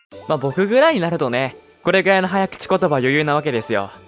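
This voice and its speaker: Fairly high-pitched male speech with music in the background. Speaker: live streamer. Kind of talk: casual talk to camera.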